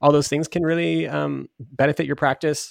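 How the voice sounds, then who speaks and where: A man with a normal speaking voice and a fairly high pitch is heard on a very clean recording with a silent background and a dry, close sound with no echo. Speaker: podcast host. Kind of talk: casual chat.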